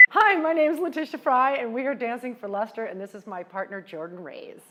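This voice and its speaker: At a fairly quick pace, a woman speaks in a high voice with very wide pitch swings and big swings in loudness, over noticeable background noise. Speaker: charity auctioneer. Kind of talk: interview testimony. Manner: fast.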